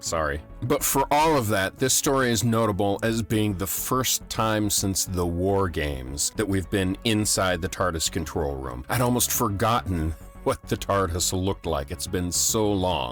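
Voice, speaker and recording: Music plays behind a man whose very deep, low voice moves at a fairly slow pace with very wide pitch swings. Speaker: podcast host. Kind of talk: casual talk to camera.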